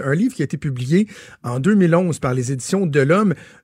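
Speaking with a Quebec accent, a man sounds somewhat breathy and keeps a moderate pace. His pitch varies in an ordinary way, and the sound is dry and close, with no echo. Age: 30s. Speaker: radio host. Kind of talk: radio talk show.

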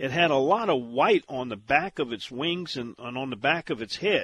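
A man's fairly high voice with a bright, sharp tone and a Louisiana accent, at a moderate pace over a quiet background. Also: dry, close sound with no echo. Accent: Southern US, Louisiana. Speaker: outdoors radio show host. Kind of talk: radio talk show interview.

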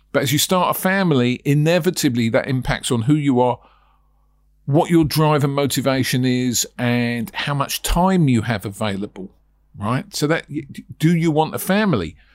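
A man with a British accent speaks at a moderate pace in a fairly high voice with lively intonation, on a very clean recording with a silent background. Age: 60s. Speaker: property sourcing trainer and podcast host. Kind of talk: solo podcast monologue. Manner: conversational, rambling.

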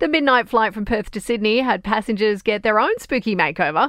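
Woman with an Australian accent, fairly high pitch and moderate pace. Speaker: news presenter. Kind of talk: newsreading. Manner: brisk, crisp and neutral; formal, steady, authoritative.

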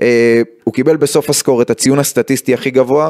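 A man is speaking. His tone is slightly mellow.

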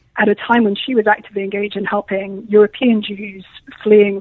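Speaking at a very fast pace, a woman with a British accent uses a medium pitch. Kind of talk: radio interview.

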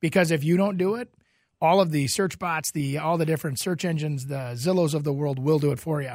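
In a very clean recording with a silent background, a man with an American accent uses an ordinary speaking voice, fairly high in pitch, with ordinary pitch variation. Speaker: real estate agent, radio co-host. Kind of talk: casual radio talk show chat. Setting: studio.

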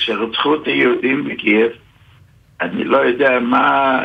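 The man speaks at a very slow pace. His pitch sits in the middle of the range. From Ukraine. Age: 80s+. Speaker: Holocaust survivor. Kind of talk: testimony. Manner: halting.

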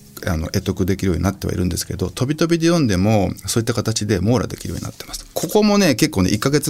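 A man's very fast, lively speech in a fairly low pitch, over noticeable background noise. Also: big swings in loudness. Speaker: writer and environmental advocate, former record producer. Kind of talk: interview conversation.

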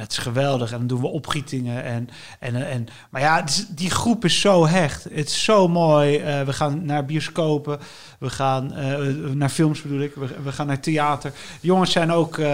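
On a very clean recording with a silent background, a man speaks fairly slowly at a fairly high pitch with ordinary variation. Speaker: writer. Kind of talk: casual interview. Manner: halting.

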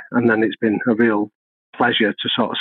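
At a moderate pace, a man with a Mancunian accent speaks in a flat monotone at a medium pitch. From North Manchester, England. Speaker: professor of organizational psychology and consultant. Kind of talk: podcast interview.

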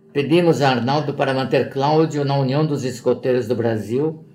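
At a moderate pace, the speaker's voice shows ordinary pitch variation, with audible echo from the room. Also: man. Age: 80s+. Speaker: father of a missing person. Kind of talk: reading aloud.

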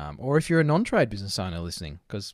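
A man with an Australian accent at a very fast pace, very wide pitch swings, very clean recording and a silent background. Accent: broad Australian twang. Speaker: podcast host, trade business coach. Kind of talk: casual chat.

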